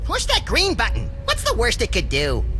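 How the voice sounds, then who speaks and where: A cartoonish character voice at a moderate pace over loud music in the background. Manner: excitable, impulsive.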